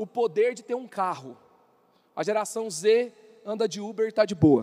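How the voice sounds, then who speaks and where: This man has a high pitch and a dark, mellow tone, talking at a moderate pace with ordinary pitch variation. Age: 30s. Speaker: youth pastor. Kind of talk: sermon.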